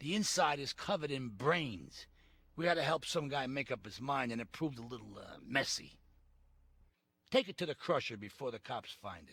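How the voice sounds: Using a put-on character voice, a man talks at a moderate pace with vocal fry, a fairly bright tone, a slightly husky edge, medium pitch, and lively intonation.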